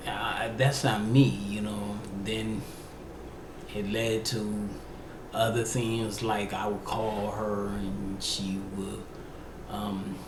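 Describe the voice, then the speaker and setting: There is audible room echo as a man with a slight DC accent and fairly low pitch talks. He speaks at a very slow pace with long, frequent pauses. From Washington DC, US East Coast. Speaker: podcast host. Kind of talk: personal testimony. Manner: halting.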